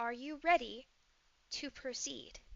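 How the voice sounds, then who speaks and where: Here a woman puts on a character voice. Her pitch is high. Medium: actual play. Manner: repetitive, insistent.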